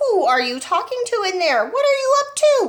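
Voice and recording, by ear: A put-on character voice, female-sounding, squeaky and shrill, at an extremely high pitch and a moderate pace.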